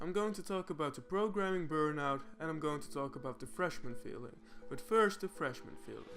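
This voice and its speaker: With music in the background, the speaker talks at a fairly quick pace with lively intonation. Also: man, fairly high pitch for a man. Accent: non-native. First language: not English. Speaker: programmer, educational YouTuber. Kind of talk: casual talk to camera. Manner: unscripted, occasional stutters and fillers.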